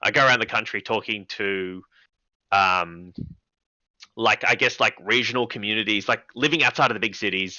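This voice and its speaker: Someone with an Australian accent speaks with ordinary pitch variation, leaving long, frequent pauses. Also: man, fairly low pitch for a man. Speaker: comedian and TV presenter. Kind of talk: casual interview chat. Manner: fast, filler-heavy.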